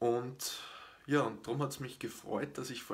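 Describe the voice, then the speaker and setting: Fairly even intonation carries this man's somewhat breathy voice. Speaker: fitness channel host. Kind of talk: live stream explainer talk. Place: home room.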